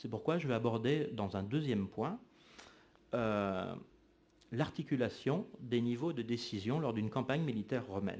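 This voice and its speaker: Long, frequent pauses break up a man's fairly slow, medium-pitched speech, which shows ordinary pitch variation. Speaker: historian. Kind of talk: lecture. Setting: lecture hall with audience. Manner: frequent hesitations (euh).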